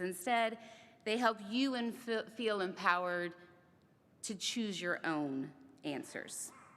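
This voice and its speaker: With lively intonation, an ordinary speaking voice proceeds at a fairly slow pace. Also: woman. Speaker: ceremony speaker. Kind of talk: speech.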